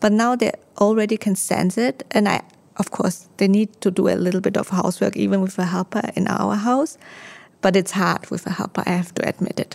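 A woman's medium-pitched voice with vocal fry, ordinary pitch variation and a fairly quick pace. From Austria. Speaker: home organizing consultant. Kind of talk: casual interview. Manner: halting.

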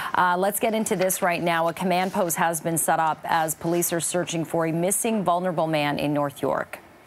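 Against noticeable background noise, a woman with a fairly low voice talks at a fairly quick pace with hardly any pauses, fairly even intonation and very even loudness. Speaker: news anchor. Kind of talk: radio news chat.

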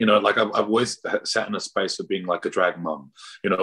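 The man's voice is fairly low in pitch. He talks at a very fast pace. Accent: Australian. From Pacific Islander raised in Australia. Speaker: drag performer and artist. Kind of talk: casual interview. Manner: animated.

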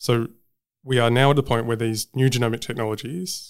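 In a very clean recording with a silent background, a man with an Australian accent speaks very fast at a medium pitch, his intonation fairly even. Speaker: genomics researcher and professor. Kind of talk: interview.

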